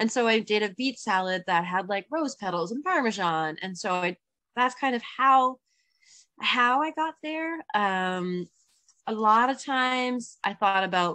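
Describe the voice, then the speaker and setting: At a fairly slow pace, a woman speaks in a fairly high, bright, sharp voice with lively intonation over a quiet background. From Newfoundland. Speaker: cookbook author. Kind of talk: interview. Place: home room. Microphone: video call.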